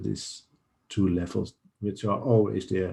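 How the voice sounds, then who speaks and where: A man's dark, mellow, somewhat breathy voice, fairly low in pitch, fairly slow, with ordinary pitch variation and a quiet background. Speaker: day trading streamer. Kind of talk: market update livestream.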